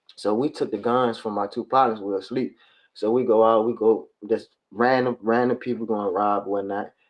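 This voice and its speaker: Here a man's voice sits at a medium pitch. The delivery is monotone, with flat intonation. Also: moderate pace. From Richmond, Virginia (US South). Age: 30s. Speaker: former prisoner sharing life story. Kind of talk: testimony. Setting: livestream podcast.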